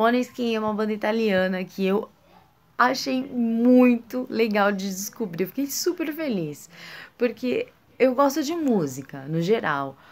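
Her fairly high voice moves in very wide pitch swings as the woman talks. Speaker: music vlogger. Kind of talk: casual vlog monologue.

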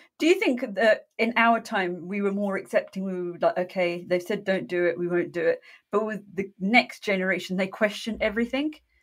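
With a British accent, a woman talks at a fairly quick pace with hardly any pauses, her medium pitch showing ordinary variation. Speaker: podcast co-host. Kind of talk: casual interview chat.

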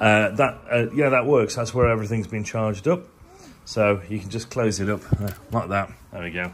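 Over light background noise, a man talks at a moderate pace with a fairly low pitch and ordinary pitch variation. He has a plain, everyday voice. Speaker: traveller vlogger. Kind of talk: casual vlog chat. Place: home room. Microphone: phone near.

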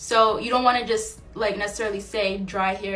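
A woman over light background noise. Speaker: small business owner and online educator. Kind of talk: tutorial. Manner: fast talker. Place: home room. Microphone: phone near.

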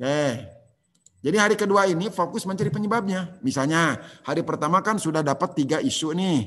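A man with a high pitch, very fast pace and lively intonation, against a quiet background. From West Java, Tasikmalaya; West Java. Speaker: civil service trainer. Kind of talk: online lecture. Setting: video call. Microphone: video call.

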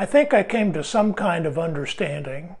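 The background is quiet. The pace is very slow. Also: man. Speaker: devotional video host. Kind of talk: sermon-like devotional talk to camera. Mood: warm, light laughter. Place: studio. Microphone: lapel.

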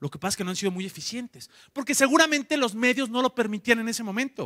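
Raised and projected, a man's bright, sharp voice races at a very fast pace with lively intonation and an animated tone over a quiet background. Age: 30s. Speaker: entrepreneur, conference speaker; conference speaker. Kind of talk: conference talk. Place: hall. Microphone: handheld.

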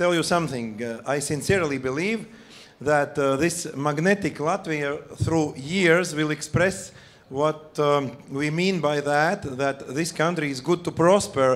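This man talks at a fairly slow pace with ordinary pitch variation. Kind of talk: conference speech. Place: stage. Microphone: handheld.

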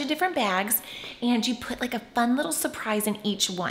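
A woman talks at a fairly quick pace with lively intonation. Light background noise is present. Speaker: parent vlogger. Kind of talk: casual vlog chat. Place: home room. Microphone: phone near.

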